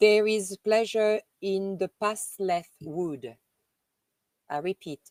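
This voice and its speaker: A woman with a French accent at a medium pitch, speaking very slowly with long, frequent pauses, in a dry, close sound with no echo. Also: ordinary pitch variation. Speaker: live streamer reading messages to viewers.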